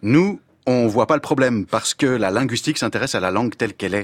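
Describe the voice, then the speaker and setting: A man talks at a very fast pace with a medium pitch and ordinary pitch variation, in a very clean recording with a silent background and a dry, close sound with no echo. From Belgium. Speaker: former French teacher, language columnist. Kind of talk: scripted radio column.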